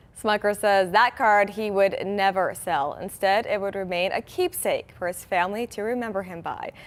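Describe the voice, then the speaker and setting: In an unremarkable speaking voice, a woman talks at a moderate pace and medium pitch, with fairly even intonation and hardly any pauses. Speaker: TV news anchor. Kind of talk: TV news anchor read.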